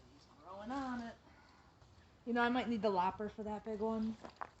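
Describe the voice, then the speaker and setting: Noticeable noise sits in the background. A woman talks over it at a fairly high pitch. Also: long, frequent pauses, big swings in loudness. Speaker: gardening instructor. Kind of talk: tutorial.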